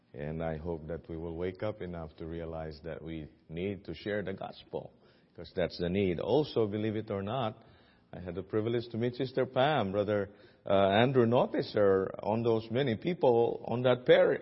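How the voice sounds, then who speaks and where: Lively intonation marks this man's fairly low voice, spoken with a Filipino accent. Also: moderate pace. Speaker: guest preacher at a missions conference. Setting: church service.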